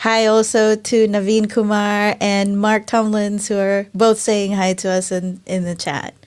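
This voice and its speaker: In a very clean recording with a silent background, a speaker with a Filipino accent talks at a fairly slow pace in a monotone, flat intonation. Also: woman. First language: Tagalog. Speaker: show host. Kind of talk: casual interview.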